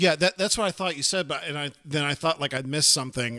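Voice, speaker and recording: A man talks very fast with ordinary pitch variation, recorded with a dry, close sound and no echo. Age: 30s. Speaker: podcast co-host. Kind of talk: casual chat.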